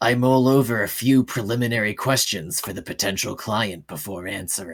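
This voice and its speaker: A man's put-on character voice at a medium pitch and a fairly quick pace, on a very clean recording with a silent background. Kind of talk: noir narration. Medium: role play.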